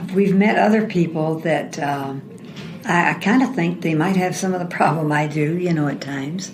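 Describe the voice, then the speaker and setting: The speech moves at a moderate pace with ordinary pitch variation. Audible room echo and noticeable background noise surround it. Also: woman, fairly low pitch for a woman. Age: 70s. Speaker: retiree with memory loss. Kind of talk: interview. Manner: halting.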